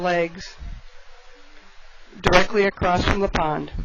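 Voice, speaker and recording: A woman's monotone, flat delivery at a fairly slow pace, with long, frequent pauses and noticeable background noise. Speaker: wildlife center naturalist. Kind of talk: live educational talk to visitors.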